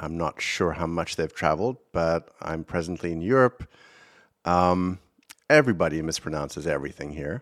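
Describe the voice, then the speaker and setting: A man's very deep, low voice with ordinary pitch variation, dry and close with no echo. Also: moderate pace. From South Africa. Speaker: podcast host, film director. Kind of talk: solo commentary podcast. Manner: halting, many fillers and repeats.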